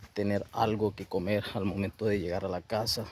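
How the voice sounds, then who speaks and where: In a La Guajira accent, a man speaks fairly slowly in a fairly low pitch with monotone, flat intonation. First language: Wayuunaiki (speaking Spanish). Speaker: professional sharing life story. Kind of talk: motivational testimony.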